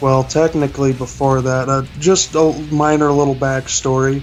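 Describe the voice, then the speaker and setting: With music in the background, a man with an American accent speaks at a medium pitch and fairly even intonation. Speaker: interviewee sharing drug experiences. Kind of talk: interview testimony. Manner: monotone; hesitant with fillers.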